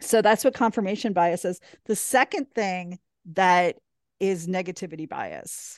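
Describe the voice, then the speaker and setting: A woman uses a normal speaking voice at a medium pitch, with ordinary pitch variation and a fairly slow pace. The sound is dry and close with no echo, over a quiet background. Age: 40s. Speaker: positive psychology coach. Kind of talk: casual chat.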